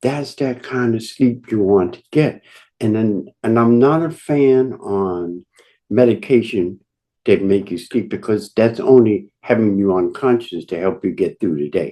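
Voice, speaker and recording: Over a quiet background, a man with a medium pitch and a dark, mellow tone speaks at a fairly slow pace with lively intonation. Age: 70s. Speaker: natural health expert. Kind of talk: webinar presentation. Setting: online call.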